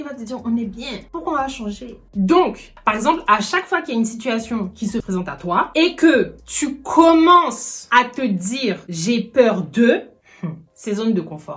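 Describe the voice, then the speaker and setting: With noticeable background noise behind her, a woman talks at a fairly slow pace, her fairly high pitch making very wide swings and her loudness shifting widely. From Ivory Coast and France. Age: 20s. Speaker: YouTuber. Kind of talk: casual talk to camera. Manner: lively, humorous.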